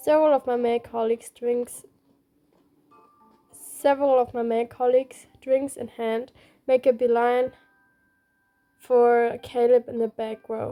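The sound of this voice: Her fairly high pitch barely moves as this woman talks at a fairly slow pace in a dark, mellow tone, leaving long, frequent pauses.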